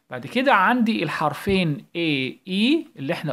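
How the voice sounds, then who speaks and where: Very wide pitch swings in an Egyptian accent, on a very clean recording with a silent background. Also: man. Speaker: primary school English teacher. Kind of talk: tutorial. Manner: animated.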